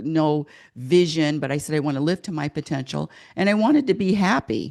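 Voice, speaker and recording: Against a quiet background, a woman with an American accent speaks at a very deep, low pitch with ordinary pitch variation. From Oregon. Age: 70s. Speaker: happiness coach and author. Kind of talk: podcast interview. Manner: halting, repeats words.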